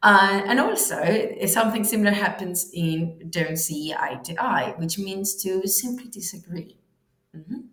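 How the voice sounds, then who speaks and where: A woman in a Spanish accent talks at a fairly slow pace, her medium pitch showing ordinary variation and her loudness swinging widely. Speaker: English teacher. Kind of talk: online language lesson.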